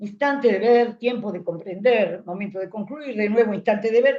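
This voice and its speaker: Over a quiet background, a dark, mellow voice moves at a moderate pace with lively intonation. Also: woman. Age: 80s+. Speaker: psychoanalyst teaching a seminar. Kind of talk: lecture.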